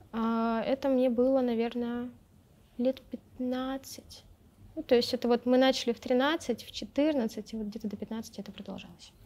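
A woman speaks at a fairly slow pace in a high voice with a dark, mellow tone, fairly even intonation, and long, frequent pauses. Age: 20s. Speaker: blogger and feminist activist; blogger. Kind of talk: casual chat. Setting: studio. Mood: candid, recalling hard childhood. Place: studio.

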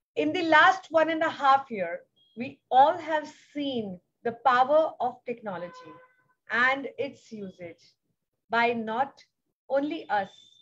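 In an Indian accent, a woman talks at a very slow pace with very wide pitch swings. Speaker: foundation founder. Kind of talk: speech. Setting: video call.

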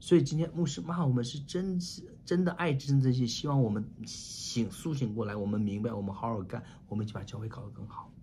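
A man talks at a fairly quick pace with lively intonation and a dark, mellow, somewhat breathy tone. Light background noise can be heard. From China. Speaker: pastor. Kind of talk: sermon. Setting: online church meeting. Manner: animated. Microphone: webcam.

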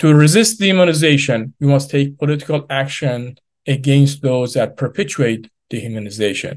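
Ordinary pitch variation against a quiet background. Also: man. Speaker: remote speaker. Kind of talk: prepared speech. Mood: earnest and serious. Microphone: video call.

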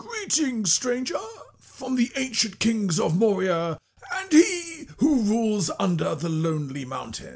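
Putting on a character voice, a man talks at a fairly slow pace in a high pitch with very wide pitch swings. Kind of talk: video game character demo.

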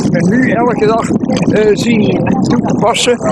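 Loud background noise fills the clip. A man talks, and the sound is dry with no echo. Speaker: amateur athlete. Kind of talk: interview answer. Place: open country. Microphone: phone near.

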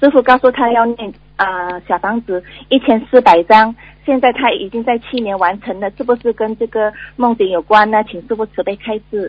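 Her pitch fairly high for a woman, she talks at a moderate pace with ordinary pitch variation. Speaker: caller. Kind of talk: reading dream accounts aloud. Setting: phone call. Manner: halting.

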